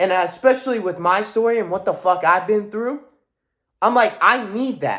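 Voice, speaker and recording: A loud, animated man's voice, high for a man, with lively intonation at a fairly slow pace. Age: young. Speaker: motivational vlogger. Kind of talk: motivational monologue.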